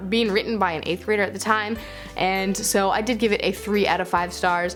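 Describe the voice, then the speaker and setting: Behind the speech there is music. A woman talks at a fairly quick pace. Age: 20s. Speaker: booktuber and creative writing teacher. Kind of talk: casual talk to camera.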